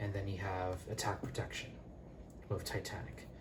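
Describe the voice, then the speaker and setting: A man with a fairly low voice talks over noticeable background noise, with audible echo from the room. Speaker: card game youtuber. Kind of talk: tutorial. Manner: fast.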